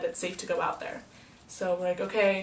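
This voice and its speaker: Over noticeable background noise and audible room echo, a woman with a medium pitch talks at a very fast pace. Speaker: vlogger. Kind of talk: casual storytelling vlog. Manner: animated.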